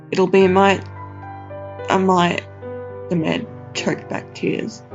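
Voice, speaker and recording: Speaking in an Australian accent at a very slow pace with long, frequent pauses, the voice is heard over music in the background. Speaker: narrator. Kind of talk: horror story narration.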